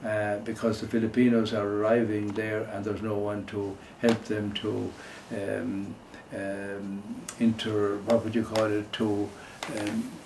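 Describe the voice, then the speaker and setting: Speaking with an Irish accent, a man talks at a fairly slow pace and fairly low pitch in a monotone, flat intonation, with noticeable background noise. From Ireland. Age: 80s+. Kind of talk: interview answer.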